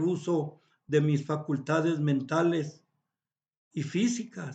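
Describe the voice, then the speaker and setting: Against a quiet background, a man speaks very slowly at a fairly high pitch. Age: 70s. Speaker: philosophy vlogger. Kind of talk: reflective monologue. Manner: halting.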